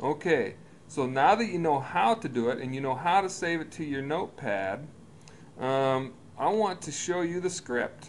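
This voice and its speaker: With an unremarkable speaking voice, a man speaks at a fairly high pitch and a moderate pace, his intonation lively. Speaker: business coach. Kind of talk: tutorial.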